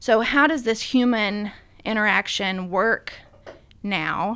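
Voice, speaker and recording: A woman with a Southern US accent talks in a bright, sharp tone. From US South, Middle Tennessee (Sumner County). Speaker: pest control company CEO. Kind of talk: interview.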